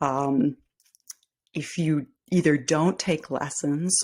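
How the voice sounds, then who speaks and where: In a very clean recording with a silent background, a woman with a Midwestern US accent speaks in a very deep, low pitch with ordinary pitch variation. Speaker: podcast host. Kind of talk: solo podcast talk, tips. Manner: casual, with many fillers.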